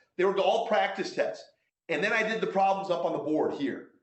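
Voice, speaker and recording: A man speaks loudly at a fairly quick pace. Room echo is audible. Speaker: math instructor. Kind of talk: course orientation talk. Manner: halting, many repetitions.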